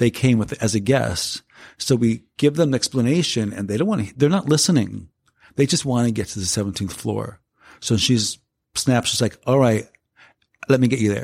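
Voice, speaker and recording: A man with an American accent, medium pitch and lively intonation at a moderate pace. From South Central Los Angeles. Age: 50s. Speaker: hospitality and community lead. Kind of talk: interview conversation. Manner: halting, many fillers.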